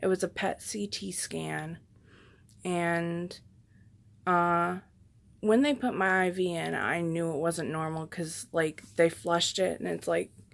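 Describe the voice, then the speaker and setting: In a very clean recording with a silent background, a soft-spoken woman with a fairly low pitch and lively intonation talks at a fairly slow pace, leaving long, frequent pauses. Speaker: patient vlogger. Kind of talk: casual vlog update.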